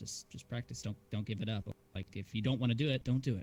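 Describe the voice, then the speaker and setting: The speaker talks at a very fast pace with a somewhat breathy quality. Pitch varies in an ordinary way. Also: man. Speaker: streamer and YouTuber. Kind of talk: casual chat.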